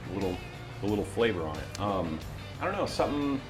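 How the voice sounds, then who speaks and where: Music plays in the background as a man talks at a very fast pace in an upbeat tone with ordinary pitch variation. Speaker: voiceover artist. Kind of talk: interview answer. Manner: easygoing, upbeat.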